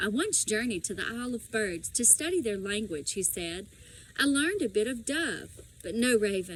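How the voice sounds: A natural reading voice is heard throughout.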